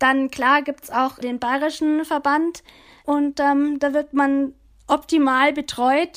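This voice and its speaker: A woman with a high voice talks very slowly in a flat monotone, recorded very cleanly against a silent background. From Upper Bavaria, Germany (Oberammergau). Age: 20s. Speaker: para alpine ski racer. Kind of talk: interview.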